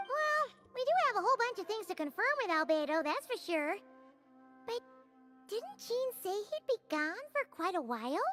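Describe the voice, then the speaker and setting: In a put-on character voice pitched extremely high, the speaker moves at a moderate pace with very wide pitch swings and long, frequent pauses, while faint music plays in the background. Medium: video game. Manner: excitable, high-energy.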